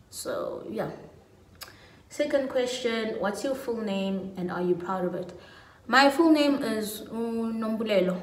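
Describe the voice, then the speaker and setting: Speech comes at a very slow pace with long, frequent pauses and ordinary pitch variation. Light background noise and audible room echo are present. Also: woman, fairly high pitch for a woman. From South Africa, Pietermaritzburg, KwaZulu-Natal. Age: 20s. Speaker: lifestyle YouTuber. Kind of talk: casual vlog monologue. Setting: at home. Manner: animated. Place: home room. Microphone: phone near.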